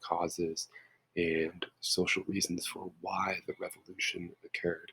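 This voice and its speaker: A quiet man at a fairly slow pace. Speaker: history teacher. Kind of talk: lecture. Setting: home.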